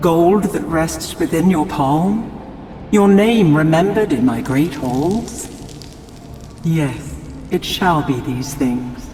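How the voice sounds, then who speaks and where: A woman puts on a raspy character voice, pitched very deep and low, with lively intonation and a very slow pace, heard over clear background noise and a clear echo. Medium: machinima. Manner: archaic, declamatory.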